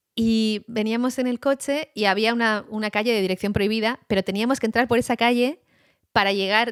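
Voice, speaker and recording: A woman's fairly high, animated voice at a fairly quick pace, dry and close with no echo, in a very clean recording with a silent background. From Basque Country, Spain. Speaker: journalist. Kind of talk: casual chat.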